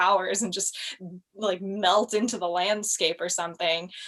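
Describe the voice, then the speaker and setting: A woman speaks with an American accent and fairly even intonation. Noticeable background noise runs behind her. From United States. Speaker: cosplayer. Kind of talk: casual chat. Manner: loud.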